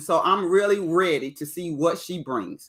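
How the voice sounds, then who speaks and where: The woman sounds excited. She speaks at a fairly slow pace. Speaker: YouTube reality TV reviewer. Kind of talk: live stream commentary. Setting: live stream. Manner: loud.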